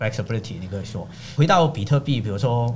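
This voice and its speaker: With a Cantonese accent, a man speaks at a medium pitch in a somewhat breathy voice, showing ordinary pitch variation. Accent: Cantonese-accented Mandarin. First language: Cantonese (speaking Chinese). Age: young. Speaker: economist. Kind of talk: casual interview chat.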